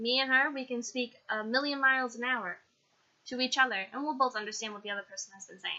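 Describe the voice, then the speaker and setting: The speaker keeps a fairly quick pace. Pitch varies in an ordinary way. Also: woman. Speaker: vlogger. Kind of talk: personal vlog. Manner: fast.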